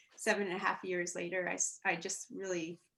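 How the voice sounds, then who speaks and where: A soft-spoken voice with a bright, sharp tone moves along at a moderate pace. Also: woman. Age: young. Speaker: journalist and widow. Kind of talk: personal interview, testimony. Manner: hesitant, repeats words.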